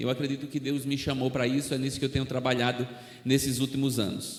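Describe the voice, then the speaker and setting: A man speaks with a Northeastern Brazilian accent. Audible room echo and noticeable background noise fill the recording. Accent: Northeastern Brazilian (Alagoas). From Brazil, Alagoas (Northeast), near Maceió. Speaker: missionary preacher. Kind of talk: sermon.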